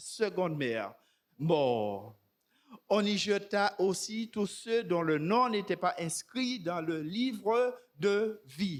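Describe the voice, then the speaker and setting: In a very clean recording with a silent background, a man talks at a very slow pace in a high pitch. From Martinique. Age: 60s. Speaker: preacher. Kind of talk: sermon.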